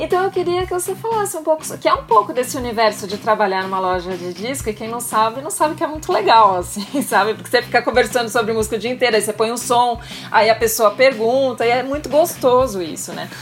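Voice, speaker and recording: A woman speaks at a very fast pace with hardly any pauses and lively intonation. Music plays in the background. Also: fairly high pitch for a woman. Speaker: podcast co-host. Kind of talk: casual interview chat.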